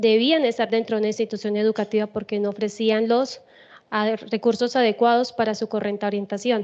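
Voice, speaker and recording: In a flat monotone, a woman talks at a fairly quick clip. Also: quiet background. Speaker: school teacher, doctoral student presenting research. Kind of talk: conference presentation. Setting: conference auditorium. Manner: loud, forceful.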